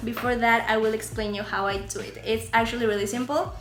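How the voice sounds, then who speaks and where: The speaker has a Spanish accent. Audible room echo and noticeable background noise fill the recording. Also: woman. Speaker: beauty and lifestyle YouTuber. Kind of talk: tutorial. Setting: outdoors. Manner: soft-spoken outdoors.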